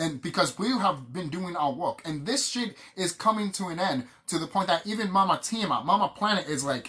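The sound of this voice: A man's high, bright, sharp voice with a slightly husky edge, lively intonation and a fairly quick pace.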